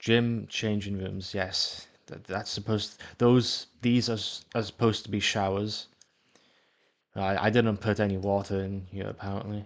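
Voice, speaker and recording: Fairly low in pitch, a man talks at a fairly slow pace with monotone, flat intonation. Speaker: gaming video creator. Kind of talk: casual gameplay commentary. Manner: halting, frequent repetitions and stumbles.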